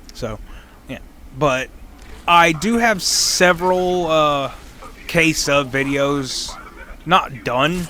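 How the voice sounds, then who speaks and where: A man speaks in a fairly high pitch with ordinary variation and long, frequent pauses. Noticeable background noise runs underneath. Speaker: gaming youtuber. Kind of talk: gameplay commentary. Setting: at home at night. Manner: quiet, toned down; off the cuff, halting.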